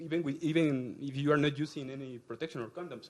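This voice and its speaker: A man talks at a fairly quick pace with a Spanish accent. His pitch is fairly high. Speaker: researcher. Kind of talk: conference talk. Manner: halting.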